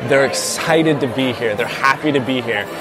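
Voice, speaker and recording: A man with an American accent speaks at a moderate pace, medium in pitch, his intonation fairly even. Noticeable background noise is present. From US South, South Carolina. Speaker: food reviewer. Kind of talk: on-location food review. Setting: restaurant.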